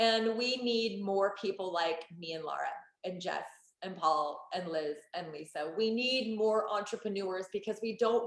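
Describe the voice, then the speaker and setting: An animated woman's voice in an American accent, medium in pitch, with ordinary pitch variation. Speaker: network marketing entrepreneur. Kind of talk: sales pitch. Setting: online group call. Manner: fast.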